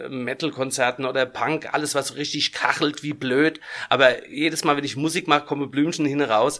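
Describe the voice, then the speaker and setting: Bright and sharp in tone, a man speaks at a fairly high pitch and moderate pace with fairly even intonation. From Germany, Aschaffenburg (Lower Franconia). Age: 50s. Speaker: band founder and musician. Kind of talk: casual interview chat. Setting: studio.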